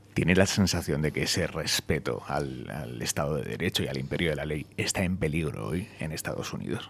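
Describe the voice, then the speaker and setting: A man talks at a very fast pace in a very deep, low pitch. His voice has vocal fry and ordinary pitch variation. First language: Spanish. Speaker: radio interviewer. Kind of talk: interview.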